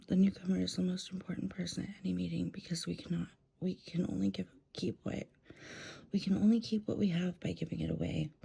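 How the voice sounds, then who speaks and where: Whispering and soft-spoken, a woman talks at a fairly quick pace. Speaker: ASMR reading creator, person in addiction recovery. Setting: at home in bed, dog audible in background. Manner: soft-spoken, whispered.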